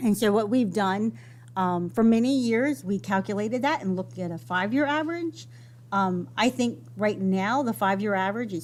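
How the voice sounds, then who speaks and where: In a very clean recording with a silent background, a woman at medium pitch sounds somewhat breathy, moving fairly quickly through very wide pitch swings. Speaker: school finance staff presenter. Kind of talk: budget presentation. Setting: school board meeting.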